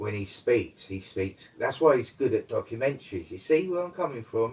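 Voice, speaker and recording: A man mumbles in a London accent. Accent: old London tang. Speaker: live streamer, amateur karaoke singer. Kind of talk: casual live stream chat. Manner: mumbling.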